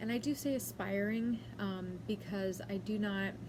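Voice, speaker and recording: With an American accent, a woman talks in a space with audible room echo. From US West Coast, San Diego, Southern California. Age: 20s. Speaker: beauty vlogger, aspiring makeup artist. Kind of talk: casual vlog talk to camera. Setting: at home. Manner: casual, many fillers.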